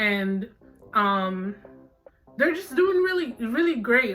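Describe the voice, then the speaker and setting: Music plays behind a woman whose fairly high voice sounds animated as she speaks at a fairly slow pace. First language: not English (English is third language). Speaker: K-pop commentary YouTuber. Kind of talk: casual vlog commentary. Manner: animated, many fillers.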